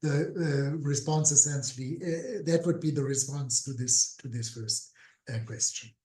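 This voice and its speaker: Somewhat breathy and dark, mellow in tone, a man speaks at a fairly slow pace with a fairly high pitch and lively intonation. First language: German. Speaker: political scientist. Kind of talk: webinar Q&A answer. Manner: hesitant, many fillers.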